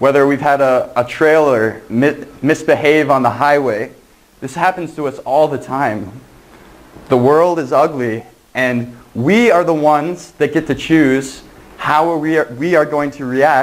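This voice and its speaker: A man's fairly slow delivery with ordinary pitch variation. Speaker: preacher. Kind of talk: sermon. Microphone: lapel.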